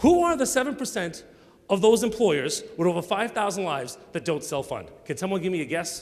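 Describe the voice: A man speaks at a high pitch with big swings, moving at a fairly quick pace. His tone is slightly mellow.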